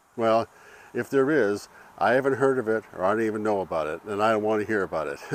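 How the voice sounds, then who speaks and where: A man talks at a very fast pace with a medium pitch. His pitch rises and falls in an ordinary way. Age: 70s. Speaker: retiree. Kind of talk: motivational talk to camera.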